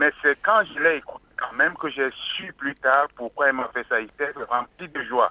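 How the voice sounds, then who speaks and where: Moderate-paced speech from a man, fairly high in pitch, with ordinary pitch variation and noticeable background noise. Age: 60s. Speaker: caller. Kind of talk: call-in testimony.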